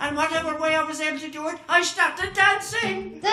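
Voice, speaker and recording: A man with an extremely high voice speaks in a raised, projected voice with ordinary pitch variation over noticeable background noise. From Cork, Ireland. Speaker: storyteller, master of ceremonies. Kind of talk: traditional storytelling on stage. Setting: live concert stage.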